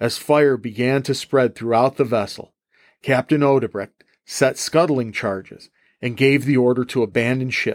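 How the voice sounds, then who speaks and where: A man with a medium pitch talks at a moderate pace in a very clean recording with a silent background and a dry, close sound with no echo. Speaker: history podcast host and high school teacher. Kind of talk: history podcast narration, scripted-style storytelling. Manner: animated, brisk battle-story narration; friendly, conversational, teacherly.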